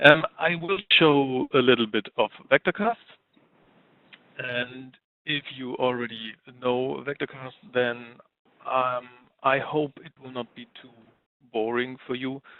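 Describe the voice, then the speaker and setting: A man speaks at a medium pitch. His pace is very slow, with long, frequent pauses. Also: ordinary pitch variation, big swings in loudness. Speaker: software tool presenter. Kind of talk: webinar presentation.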